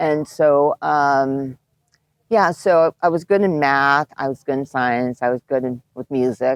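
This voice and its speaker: A woman with a Japanese accent, very deep and low in pitch, with ordinary pitch variation, a fairly slow pace, and a dry, close sound with no echo. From Japan, moved to the US at age eight. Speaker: animation film producer. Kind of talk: casual interview.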